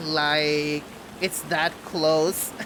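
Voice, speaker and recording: Over noticeable background noise, a man with a non-native accent speaks at a fairly high pitch. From Bangladesh. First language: not English. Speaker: streamer. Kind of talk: casual chat. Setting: live stream.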